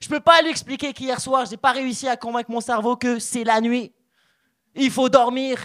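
Recorded very cleanly against a silent background, a man talks at an extremely high pitch, the sound dry and close with no echo. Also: moderate pace. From Morocco. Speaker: stand-up comedian. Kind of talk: stand-up. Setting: stage with audience. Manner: animated.

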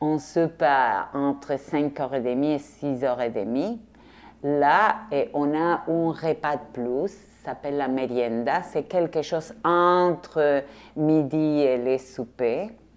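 Over a quiet background, a woman with a very deep, low pitch talks at a very slow pace with ordinary pitch variation. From Argentina, Rosario. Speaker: visual artist. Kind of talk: interview testimony.

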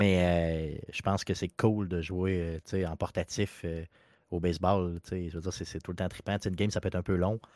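A man with a very deep, low pitch and monotone, flat intonation at a moderate pace, on a very clean recording with a silent background and a dry, close sound with no echo. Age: 40s. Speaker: video game podcast guest. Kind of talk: casual chat.

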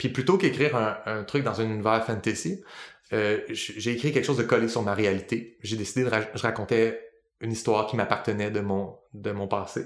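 A man speaks with a Quebec accent at a fairly quick pace. His intonation stays fairly even. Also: medium pitch for a man. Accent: Québécois French. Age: 30s. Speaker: podcast host, linguist and worldbuilder. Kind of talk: casual chat.

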